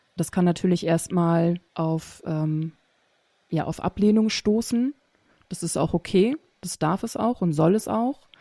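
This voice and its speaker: The delivery is very slow, with long, frequent pauses and a dark, mellow tone. The sound is dry and close with no echo, on a very clean recording with a silent background. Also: woman, fairly low pitch for a woman, ordinary pitch variation. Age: 30s. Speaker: speech therapist. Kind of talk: podcast interview.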